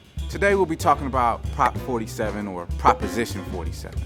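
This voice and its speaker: Music plays in the background. A man speaks in an upbeat tone. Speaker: spoken word artist, host. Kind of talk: mock infomercial host talk to camera. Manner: upbeat, persuasive.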